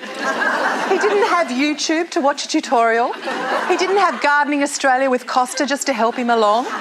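An upbeat, high-pitched woman at very even loudness, with crowd noise in the background. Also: hardly any pauses. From Australia. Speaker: radio and television broadcaster, MC, live performer. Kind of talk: event host / MC showreel, storytelling. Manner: humorous, upbeat, witty. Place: stage. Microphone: lapel.

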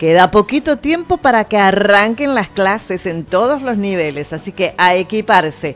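Against noticeable background noise, a woman talks at a moderate pace and medium pitch with very wide pitch swings and hardly any pauses. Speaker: radio co-host. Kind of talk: casual chat and reading ads. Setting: studio.

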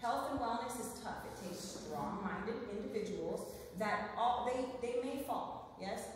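A woman speaks at a fairly high pitch with ordinary pitch variation. Strong room echo and noticeable background noise fill the recording. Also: fairly slow pace. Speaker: nurse practitioner and wellness speaker. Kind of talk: live talk to an audience. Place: meeting room. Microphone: camera far.

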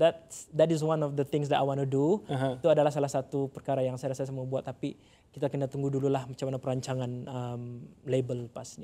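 In a dark, mellow tone, a man speaks at a very fast pace with monotone, flat intonation. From Sabah, Malaysia. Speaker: singer and English teacher; English teacher. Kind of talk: casual interview. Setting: studio. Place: studio. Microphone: lapel.

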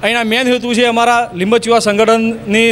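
Against noticeable background noise, a man speaks at an extremely high pitch in a monotone, flat intonation. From Gujarat. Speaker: community organisation official. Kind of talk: news interview statement.

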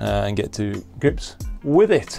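A man talks while faint music plays in the background. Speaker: astrophotography vlogger. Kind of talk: casual vlog chat.

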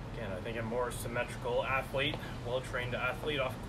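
Loud background noise fills the recording. Over it, a man talks at a very fast pace. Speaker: fitness coach. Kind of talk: workout instruction. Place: garden. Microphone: camera far.

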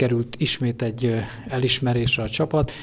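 A man speaks at a moderate pace with fairly even intonation. His voice is somewhat breathy. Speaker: interviewer, local media. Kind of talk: interview questions.

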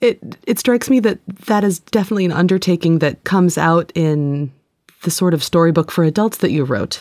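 A woman speaks in a plain, everyday voice, fairly low in pitch with ordinary variation, at a fairly quick pace. The sound is dry and close, without echo. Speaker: podcast co-host and interviewer. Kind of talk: casual chat and interview. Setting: studio.

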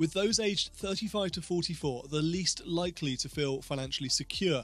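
The recording is dry with no echo. A man with a high pitch speaks at a moderate pace. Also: ordinary pitch variation. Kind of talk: explainer talk to camera. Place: home room. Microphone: studio mic.

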